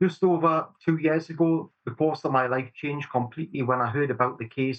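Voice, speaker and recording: The voice carries a Geordie accent at a moderate pace. Its intonation stays fairly even. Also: man. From northern England, Newcastle upon Tyne. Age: 40s. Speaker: campaign group founder. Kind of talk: interview.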